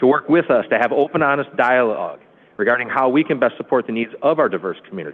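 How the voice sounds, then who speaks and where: A man's voice, fairly high in pitch, races along very fast while its pitch varies in an ordinary way. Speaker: police chief. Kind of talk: prepared statement at council meeting. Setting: city council meeting.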